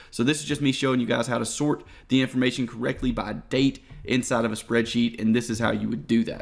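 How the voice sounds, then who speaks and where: A man speaks at a medium pitch with ordinary pitch variation. His voice has vocal fry and moves at a very fast pace. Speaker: forex trading tutor. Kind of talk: screen-share tutorial.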